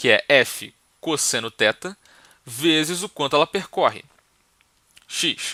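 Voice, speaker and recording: At a very slow pace and with long, frequent pauses, a man speaks in a fairly high pitch with lively intonation and a bright, sharp tone, the sound dry and close with no echo. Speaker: physics teacher. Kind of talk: lecture. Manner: soft-spoken; casual.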